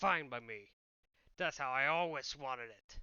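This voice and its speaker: Raspy and medium-pitched, a man's put-on character voice proceeds at a moderate speed. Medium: read story. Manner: smug, boastful.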